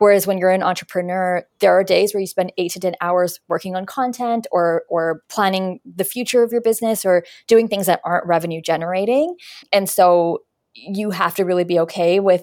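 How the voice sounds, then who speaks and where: On a very clean recording with a silent background, a woman with a Canadian accent and a normal speaking voice talks at a fairly quick pace and medium pitch, her intonation fairly even. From Canada, Winnipeg. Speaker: career coach and resume strategist. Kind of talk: interview.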